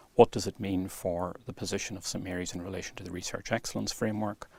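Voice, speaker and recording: Speaking very fast with an Irish accent, a man keeps a fairly low pitch and a monotone, flat intonation. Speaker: university vice-chancellor. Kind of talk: interview. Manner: fluent, measured.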